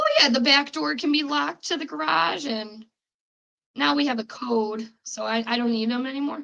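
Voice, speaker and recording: With a strong Chicago accent, a woman talks at a fairly quick pace. Her fairly high pitch moves through very wide swings. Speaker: podcast host. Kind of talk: casual chat.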